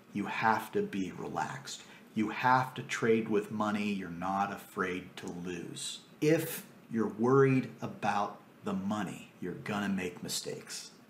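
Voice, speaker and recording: Amid noticeable background noise and audible room echo, a man with a fairly low pitch speaks at a fairly slow pace. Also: ordinary pitch variation. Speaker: trading course instructor. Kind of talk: recorded course lecture.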